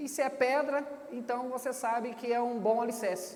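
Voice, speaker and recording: Through noticeable background noise and audible room echo, a man speaks in an extremely high pitch with fairly even intonation. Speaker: pastor. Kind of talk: sermon. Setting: church stage with audience.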